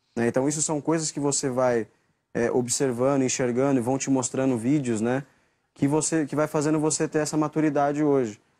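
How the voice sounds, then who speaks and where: This man speaks at a fairly quick pace with a fairly high pitch, a dark, mellow tone and fairly even intonation, on a very clean recording with a silent background. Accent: Brazilian. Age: 20s. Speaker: footballer. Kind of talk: press interview.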